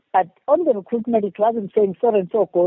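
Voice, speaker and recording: A woman with a Zulu accent, her pitch fairly high, with ordinary pitch variation. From South Africa, rural northern KwaZulu-Natal. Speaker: winemaker. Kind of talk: interview.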